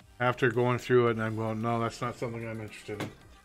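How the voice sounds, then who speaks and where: A man at a medium pitch talks at a very fast pace with music in the background. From Canada. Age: 50s. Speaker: gamer streamer. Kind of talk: casual live-stream gameplay talk.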